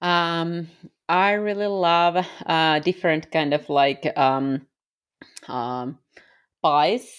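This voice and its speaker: Speaking in a Finnish accent, a woman talks very slowly at a fairly low pitch with ordinary pitch variation, long, frequent pauses and a quiet background. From Finland. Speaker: missionary. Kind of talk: interview conversation. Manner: frequent laughter; halting.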